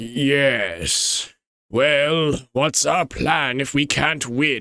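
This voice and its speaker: A man uses a put-on character voice that is raspy and fairly high. His pace is very slow. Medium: virtual streamer.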